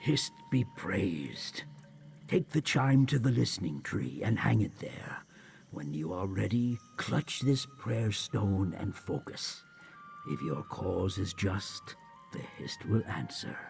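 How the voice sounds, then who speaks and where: A man puts on a character voice, pitched fairly low, with very wide swings in pitch. Light background noise sits behind him. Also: fairly slow pace. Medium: video game. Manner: fussy, devout.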